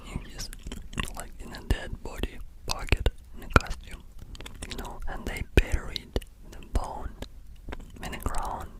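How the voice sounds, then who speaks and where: Someone whispers at a very slow pace. Noticeable background noise runs under the voice. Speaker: ASMR creator. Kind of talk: ASMR movie retelling. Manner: casual, hesitant.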